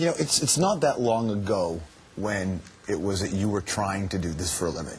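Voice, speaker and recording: A man talks in a fairly low, somewhat breathy voice. His intonation is lively. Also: moderate pace. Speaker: talk show host. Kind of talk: interview question.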